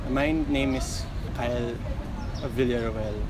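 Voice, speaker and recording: With loud background noise all around, the recording itself is dry and free of echo. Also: man. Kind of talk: interview answer. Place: street.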